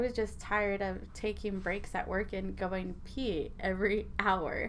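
Audible room echo surrounds a woman who speaks with vocal fry at a medium pitch and a moderate pace. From Arizona. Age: 20s. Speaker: diabetes advocate and influencer. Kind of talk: interview.

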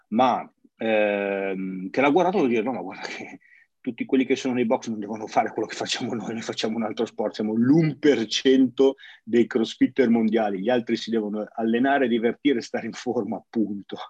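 The sound is dry and close with no echo as a man speaks at a moderate pace and medium pitch with ordinary pitch variation. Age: 40s. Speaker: CrossFit gym owner and podcast host. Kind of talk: casual interview chat. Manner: halting, repeats words.

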